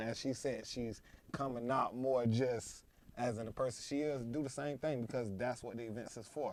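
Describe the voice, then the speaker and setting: Delivered at a fairly quick pace with fairly even intonation, this is a normal speaking voice with an American accent. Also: man. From United States. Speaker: event collective founder. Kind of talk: podcast interview.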